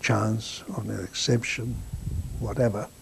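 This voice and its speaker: A man with a Hungarian accent at a fairly slow pace. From Hungary, Kaposvár. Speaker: Holocaust survivor. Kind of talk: testimony. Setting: filmed interview.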